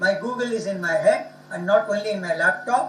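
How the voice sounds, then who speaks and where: A man with a Tamil accent speaks at a high pitch and a moderate pace, with ordinary pitch variation. Music plays in the background, and audible room echo is present. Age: 70s. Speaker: professor. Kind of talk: lecture. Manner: formal.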